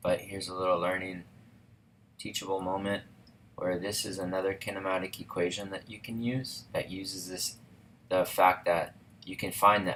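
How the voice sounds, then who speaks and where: In a very deep, low pitch, a man speaks at a moderate pace with monotone, flat intonation, long, frequent pauses and big swings in loudness. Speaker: physics teacher. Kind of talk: tutorial. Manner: casual, with fillers.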